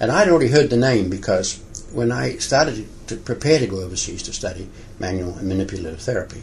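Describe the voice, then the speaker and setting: A man with a New Zealand accent talks at a fairly quick pace, with audible room echo around him. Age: 60s. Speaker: physiotherapist. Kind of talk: interview. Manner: halting.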